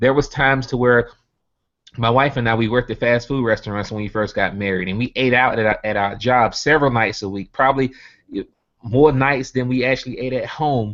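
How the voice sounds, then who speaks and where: A man with a Southern US accent, medium in pitch, at a fairly quick pace with fairly even intonation. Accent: Southern US (country). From US South, Birmingham, Alabama. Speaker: network marketing earner giving testimony. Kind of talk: motivational talk on a video hangout. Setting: online video hangout.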